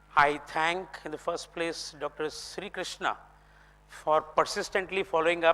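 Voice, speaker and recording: A man's fairly high voice in monotone, flat intonation, with music in the background. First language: Kannada. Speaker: philosophy speaker. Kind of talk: lecture. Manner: formal.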